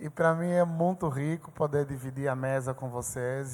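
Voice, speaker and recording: In a very clean recording with a silent background, a man speaks at a medium pitch and moderate pace with fairly even intonation. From Angola. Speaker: church staff member. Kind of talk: conversation. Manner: formal.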